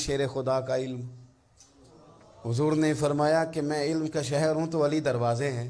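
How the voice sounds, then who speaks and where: A normal speaking voice is heard. Its intonation stays fairly level. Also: man. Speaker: Islamic scholar giving a religious sermon. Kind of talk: Islamic sermon (bayan) delivered to an audience, storytelling.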